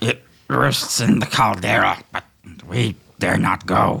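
A man uses a put-on character voice that is raspy and fairly low. He talks at a fairly slow pace. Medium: actual play. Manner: earnest, slightly formal.

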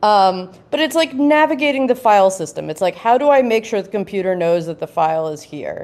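A woman talks fairly quickly at medium pitch, her voice making very wide pitch swings. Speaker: developer tools builder. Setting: live show on stage.

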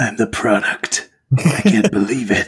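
Putting on a character voice, a man delivers his lines in a gravelly, dramatic tone at a medium pitch. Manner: dramatic, movie-trailer-like.

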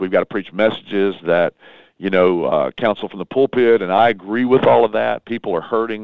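With a Southern US accent, a man speaks in a passionate tone at a fairly low pitch, with ordinary pitch variation. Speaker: pastor. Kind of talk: interview. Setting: phone call.

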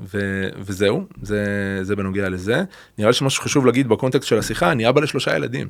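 Ordinary pitch variation at a fairly quick pace. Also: man, fairly low pitch for a man. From Israel, Beersheba (Negev). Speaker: educator. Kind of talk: conversational dialogue. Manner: halting.

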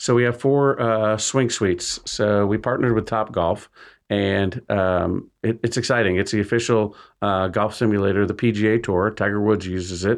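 In an American accent, a man with a fairly low pitch and an unremarkable speaking voice talks at a moderate pace with fairly even intonation against a quiet background. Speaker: businessman, former car dealer. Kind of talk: radio interview.

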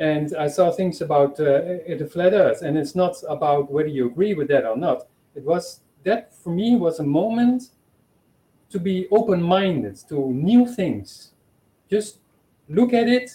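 Speaking at a fairly slow pace with long, frequent pauses, a man with a Dutch accent uses a high pitch, a dark, mellow tone, and lively intonation. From Netherlands. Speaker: supporter. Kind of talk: testimony. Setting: video call.

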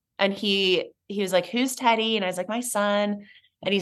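A woman's normal speaking voice, medium in pitch, at a moderate pace with fairly even intonation. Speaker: breast cancer survivor and ceramic artist. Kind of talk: casual interview chat.

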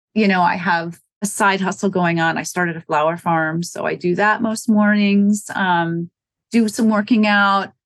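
A woman with an American accent speaks in an unremarkable speaking voice at medium pitch. Her pace is moderate and her intonation fairly even. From US Midwest, small-town Wisconsin. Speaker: running store owner. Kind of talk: interview.

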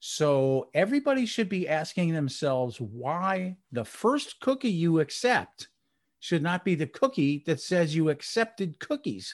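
Against a quiet background, a man with an American accent talks at a fairly slow pace, his high voice making very wide pitch swings. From New Jersey, near New York City. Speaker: IT and customer experience industry analyst. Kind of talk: interview.

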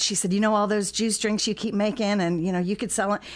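A woman speaks in an unremarkable speaking voice with an American accent, a medium pitch and fairly even intonation, in a very clean recording with a silent background. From Kirkwood, St. Louis County, Missouri. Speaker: cafe owner. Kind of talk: interview. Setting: studio.

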